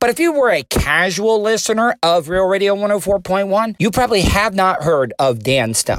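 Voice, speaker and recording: A man is speaking. His tone is enthusiastic. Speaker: podcast host, former radio producer. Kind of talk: casual, profane. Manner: enthusiastic, rambling.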